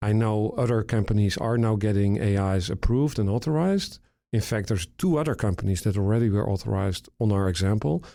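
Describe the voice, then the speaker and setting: A man with a European accent talks at a very fast pace in a fairly low pitch with a dark, mellow tone. The recording is very clean, with a silent background. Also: ordinary pitch variation, very even loudness. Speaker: retina surgeon and tech founder. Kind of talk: podcast interview.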